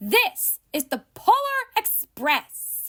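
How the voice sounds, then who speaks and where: This is a put-on character voice. Its pitch swings very widely. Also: woman, extremely high pitch for a woman. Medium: read story.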